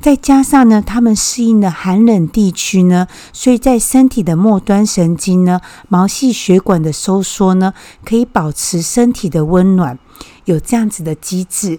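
Her pitch sits in the medium range, and her intonation is lively. The woman speaks at a fairly slow pace in a normal speaking voice. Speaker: podcast host. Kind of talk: casual explanatory talk; reading aloud.

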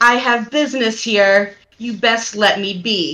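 In a put-on character voice, a female-sounding speaker talks at a fairly high pitch and a fairly slow pace. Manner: menacing, warning.

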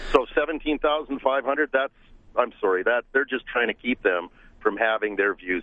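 A man's plain, everyday voice at medium pitch, moderate pace, with ordinary pitch variation. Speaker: caller. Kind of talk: casual opinion call. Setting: phone call.

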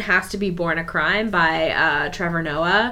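A woman's bright, sharp voice moves at a fairly slow pace, with audible echo from the room. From Africa. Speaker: book podcast host. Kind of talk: casual chat.

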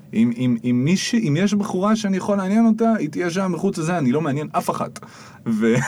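The speaker moves at a fairly quick pace with very wide pitch swings, over noticeable background noise. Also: man, high pitch for a man. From Israel, Jerusalem. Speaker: spoken word artist and musician. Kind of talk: casual interview chat. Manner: animated.

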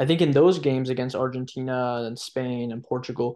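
In a plain, everyday voice, a man speaks at a moderate pace and medium pitch against a quiet background. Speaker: football analyst. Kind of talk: podcast panel discussion.

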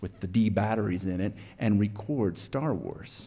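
At a moderate pace, a man speaks with an American accent amid audible room echo. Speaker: storyteller. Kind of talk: live storytelling. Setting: stage with audience.

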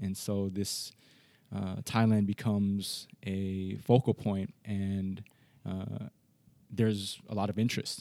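A man talks with a Californian accent in a fairly low pitch. His tone is dark and mellow, with monotone, flat intonation. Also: very clean recording, silent background. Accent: Californian American. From US, Los Angeles. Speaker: history professor. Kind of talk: interview conversation.

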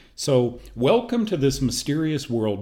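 A man with an American accent speaks at a moderate pace, his pitch sitting in the medium range. His voice is somewhat breathy, with very wide pitch swings. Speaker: health show host. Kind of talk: personal testimony. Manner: casual, with frequent fillers.

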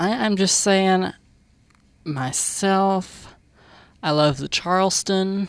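A woman in a Southern US accent, medium in pitch with ordinary pitch variation, very slow with long, frequent pauses, on a very clean recording with a silent background. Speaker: radio host. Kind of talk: live college radio show, casual chat. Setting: studio. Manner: jokey, chatty.

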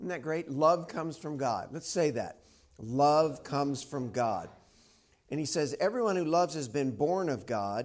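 A man with an unremarkable speaking voice talks at a moderate pace with ordinary pitch variation. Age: 50s. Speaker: preacher. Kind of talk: sermon. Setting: church. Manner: casual, conversational.

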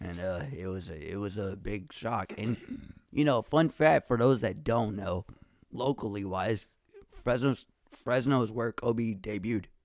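This man has a plain, everyday voice with a fairly low pitch. He talks at a fairly slow pace with ordinary pitch variation. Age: 20s. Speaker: podcaster and rapper. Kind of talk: casual chat.

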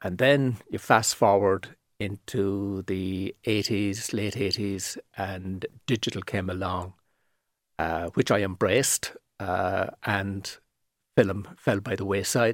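In a Cork accent, a man talks at a very slow pace with a fairly low pitch and fairly even intonation, the sound dry and close with no echo in a very clean recording with a silent background. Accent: Cork Irish. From Ireland, east Cork (seaside town). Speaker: property photographer. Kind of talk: casual interview. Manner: articulate, measured.

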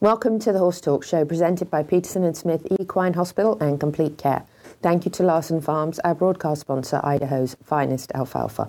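Hoarse and very even in loudness, a put-on character voice runs at a fairly quick pace. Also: woman, fairly low pitch for a woman. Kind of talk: host, formal presenting.

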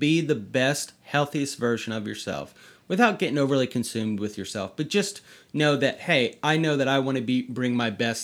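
A man speaks in a normal speaking voice at medium pitch and a moderate pace, with ordinary pitch variation on a very clean recording with a silent background. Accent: American. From US South, North Carolina. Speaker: author, podcast guest. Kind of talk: casual chat. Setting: bedroom at home.

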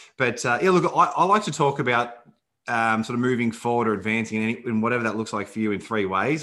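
Here a man speaks with an Australian accent in a bright, sharp tone. His pitch is medium, with ordinary pitch variation. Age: 30s. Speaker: podcast host. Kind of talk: podcast interview.

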